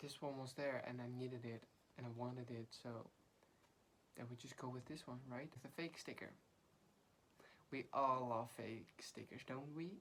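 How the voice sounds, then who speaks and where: A woman with a Dutch accent speaks at a moderate pace in a very deep, low voice. Her intonation is fairly even, broken by long, frequent pauses. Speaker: book vlogger. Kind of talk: casual chat.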